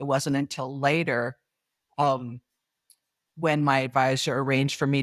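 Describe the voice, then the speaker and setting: In a very clean recording with a silent background and a dry, close sound with no echo, a woman with an American accent speaks at a moderate pace in a very deep, low, monotone voice. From US Pacific Northwest. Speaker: author and speaker. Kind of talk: interview answer.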